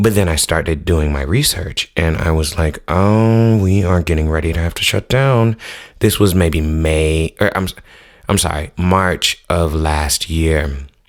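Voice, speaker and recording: With an American accent, a man talks at a fairly slow pace in a very deep, low voice, his tone animated and his pitch variation ordinary. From US Midwest, South Minneapolis. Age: 30s. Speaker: podcast host. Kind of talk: casual monologue.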